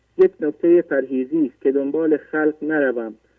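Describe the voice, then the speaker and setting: His pitch fairly high for a man, he talks at a moderate pace. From Iran, Semnan. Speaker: caller. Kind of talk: reading prepared notes. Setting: phone call.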